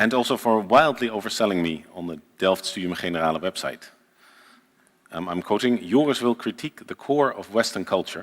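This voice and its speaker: A man with a Dutch accent, lively intonation, and a fairly quick pace. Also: fairly low pitch for a man. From Netherlands. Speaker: journalist and writer. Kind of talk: lecture read from a script. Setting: lecture hall with small audience, live-streamed.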